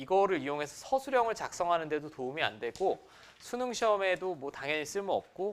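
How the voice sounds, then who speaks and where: A man talks at a very fast pace with a high pitch. His voice swings very widely up and down. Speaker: math teacher. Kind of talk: lecture.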